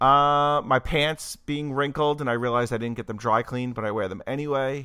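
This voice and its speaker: A bright, sharp tone at a moderate pace with ordinary pitch variation, on a very clean recording with a silent background. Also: man. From Italian-American family. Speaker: podcast co-host. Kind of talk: casual chat. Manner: animated.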